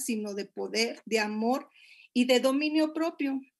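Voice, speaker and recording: A woman speaks at a fairly slow pace in a high pitch, using ordinary pitch variation. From Monterrey, Mexico. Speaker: pastor. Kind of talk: sermon-style marriage talk.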